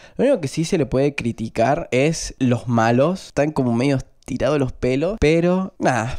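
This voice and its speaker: Over a quiet background, a man speaks at a moderate pace with very even loudness. His pitch varies in an ordinary way. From Argentina. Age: 20s. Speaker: film and series youtuber; series youtuber. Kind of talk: casual review vlog. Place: home room. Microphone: handheld.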